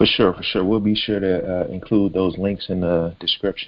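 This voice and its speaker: Here a man has an unremarkable speaking voice with a fairly low pitch. He talks at a moderate pace. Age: 20s. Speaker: podcast host. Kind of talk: podcast interview.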